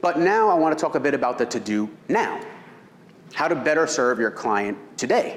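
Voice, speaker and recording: The speaker's pitch swings very widely at a moderate pace. Loudness stays very even, and room echo is audible. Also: man, fairly high pitch for a man. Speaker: real estate seminar presenter. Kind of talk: seminar lecture.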